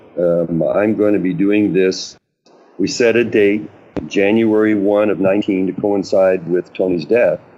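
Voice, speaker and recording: A man's fairly low voice at a fairly slow pace, with fairly even intonation. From New Mexico, US. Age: 70s. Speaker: paddleboarder. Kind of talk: podcast interview. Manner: hesitant, many fillers.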